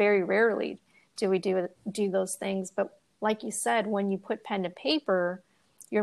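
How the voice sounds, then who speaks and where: Using a normal speaking voice, a woman talks at a moderate pace and medium pitch with fairly even intonation, on a very clean recording with a silent background. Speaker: podcast host. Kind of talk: interview.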